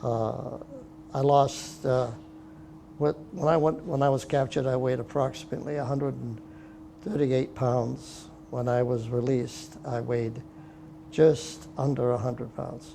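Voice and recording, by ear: A dark, mellow voice with vocal fry speaks at a fairly slow pace with fairly even intonation. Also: man, medium pitch for a man.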